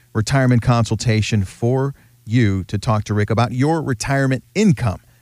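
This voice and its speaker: A man speaks in a plain, everyday voice at a medium pitch with ordinary pitch variation. The recording is very clean, with a silent background. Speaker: radio host. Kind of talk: radio show host patter, bright chatty banter with a guest, plus promo-style announcements. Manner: upbeat, friendly, polished radio-announcer delivery.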